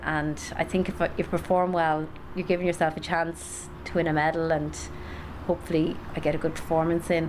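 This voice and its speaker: The speech comes at a moderate pace in a monotone, flat intonation, with noticeable background noise. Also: woman. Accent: western Irish. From County Galway, Ireland. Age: 30s. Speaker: Paralympic athlete. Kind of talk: interview.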